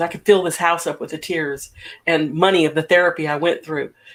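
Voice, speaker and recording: Here is a plain, everyday voice. Its intonation stays fairly even, and the pace is moderate. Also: woman. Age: 60s. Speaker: talk show host. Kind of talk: casual chat.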